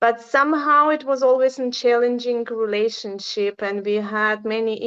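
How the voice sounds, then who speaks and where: A woman with a non-native accent, fairly high pitch and fairly even intonation. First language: not English. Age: 40s. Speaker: relationship survivor. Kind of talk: personal testimony. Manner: halting.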